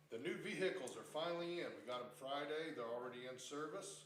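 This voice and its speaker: There is audible room echo and noticeable background noise as a man with a fairly high pitch speaks at a moderate pace with lively intonation. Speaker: police officer. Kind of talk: council meeting report. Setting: town council meeting room.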